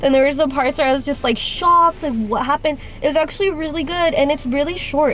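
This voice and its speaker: A woman with a high pitch talks at a very fast pace with hardly any pauses. Her pitch variation is ordinary, and there is noticeable background noise. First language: Spanish. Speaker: lifestyle vlogger. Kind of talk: casual vlog chat. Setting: outdoors. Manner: casual, filler-heavy; animated.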